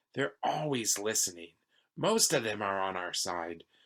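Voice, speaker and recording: Quiet and hoarse, a man puts on a character voice at a fairly low pitch. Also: moderate pace. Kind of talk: children's read-aloud. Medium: read story. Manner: hushed, cautious.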